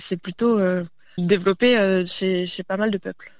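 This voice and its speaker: Using fairly even intonation, a woman talks at a fairly slow pace in a medium-pitched voice. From Burgundy, France (northern Côte-d'Or). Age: 20s. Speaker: traditional dancer and teacher. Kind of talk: radio interview. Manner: hesitant, many fillers.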